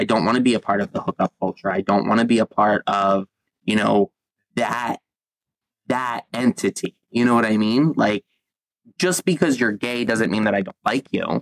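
Here is a man with an ordinary speaking voice, at a medium pitch with ordinary pitch variation. He keeps a moderate pace, and the sound is dry and close with no echo. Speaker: podcast host. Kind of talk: casual chat.

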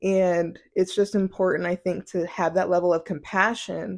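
The recording is very clean with a silent background as a woman speaks at a medium pitch and a fairly slow pace. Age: 20s. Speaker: podcast host. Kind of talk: casual monologue. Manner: animated.

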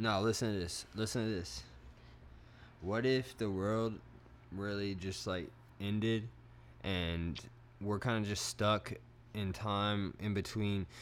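A man's fairly low voice at a very slow pace, with ordinary pitch variation and long, frequent pauses. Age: 20s. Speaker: podcast host. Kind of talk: casual chat.

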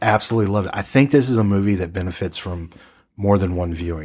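A man with an ordinary speaking voice talks at a fairly low pitch with ordinary pitch variation. The recording is very clean, with a silent background. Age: 40s. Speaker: radio-style horror film podcast host. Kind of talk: casual chat about films.

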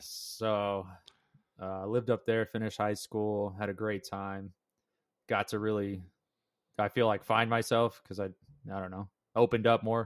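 A man with an American accent talks at a moderate pace in a fairly low pitch, using monotone, flat intonation and long, frequent pauses. The recording is very clean with a silent background and a dry, close sound with no echo. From US West, Las Vegas. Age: 20s. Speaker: podcast host, young father. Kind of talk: casual chat.

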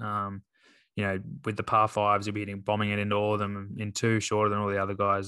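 Very fast and bright, with a sharp tone, a man with an Australian accent talks at a fairly low pitch in a dry, close sound with no echo over a quiet background. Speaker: golf podcast co-host, scratch golfer. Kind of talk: casual chat.

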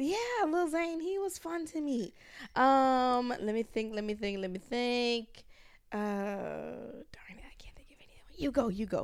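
In an American accent, a woman speaks at a very slow pace with long, frequent pauses. Her voice is high-pitched and her pitch swings very widely. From US South, Georgia. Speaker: podcast guest, journalist. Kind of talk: casual chat.

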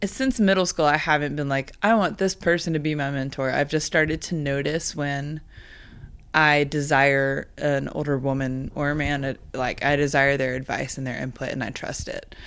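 At a moderate pace, a woman talks in a very deep, low voice with fairly even intonation. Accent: American. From Texas, Dallas. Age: 20s. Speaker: songwriter. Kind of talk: casual interview chat.

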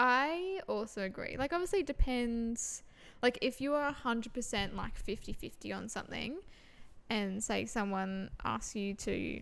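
Intonation rises and falls with liveliness. The audio is very clean, and the background is silent. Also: woman. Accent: Australian. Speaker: podcast co-host. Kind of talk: casual chat.

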